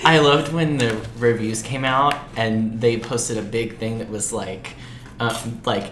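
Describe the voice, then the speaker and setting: With an American accent, a man speaks at a fairly slow pace and medium pitch against noticeable background noise. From Lexington, Kentucky, US. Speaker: podcast co-host. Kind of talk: casual chat. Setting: studio. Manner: animated.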